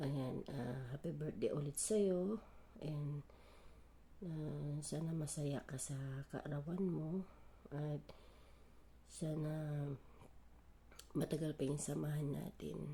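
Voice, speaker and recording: Long, frequent pauses break up speech that goes very slowly. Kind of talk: birthday greeting message.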